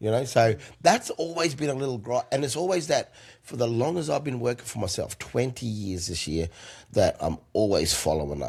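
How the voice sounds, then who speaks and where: Using vocal fry, a man of medium pitch speaks at a moderate pace with very wide pitch swings. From South Australia. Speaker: comedian. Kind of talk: casual chat. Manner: loud laugh.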